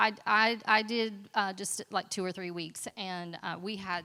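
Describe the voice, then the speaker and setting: On a very clean recording with a silent background, a woman's medium-pitched voice has a bright, sharp tone and fairly even intonation. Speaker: school librarian presenting at conference. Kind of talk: conference presentation.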